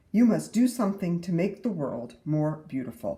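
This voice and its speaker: At a middle pitch, a put-on character voice proceeds at a moderate pace. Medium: read story.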